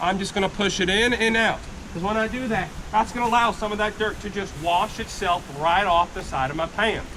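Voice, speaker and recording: Over noticeable background noise, a man with a high pitch uses a raised, projected voice at a fairly quick pace. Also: ordinary pitch variation. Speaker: gold panning instructor at tourist camp. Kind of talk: live demonstration to tour group. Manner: loud, projecting.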